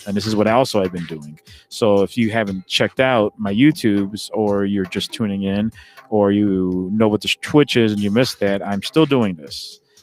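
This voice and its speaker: A man's fairly low voice at a moderate pace, dry and close with no echo, music playing in the background. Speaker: livestreamer, miniature painter. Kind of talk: casual livestream chat. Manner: halting, stammering.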